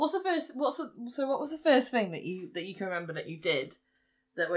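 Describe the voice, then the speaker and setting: A woman with an English accent talks at a very fast pace. Her pitch swings very widely. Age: 20s. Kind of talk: casual chat.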